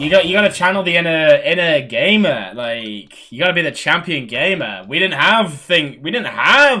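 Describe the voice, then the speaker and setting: Someone talks at a moderate pace with lively intonation over noticeable background noise. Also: man. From Britain. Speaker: gaming streamer. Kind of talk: casual chat.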